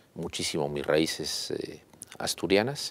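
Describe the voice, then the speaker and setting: A fairly slow male voice comes through on a very clean recording against a silent background. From Mexico (León, Guanajuato / Mexico City). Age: 60s. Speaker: businessman and university founder. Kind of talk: interview. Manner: hesitant, many filler sounds.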